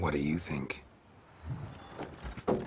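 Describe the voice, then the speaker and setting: A man's put-on character voice, very deep and low in pitch, over loud background noise. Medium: machinima. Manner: terse, dry.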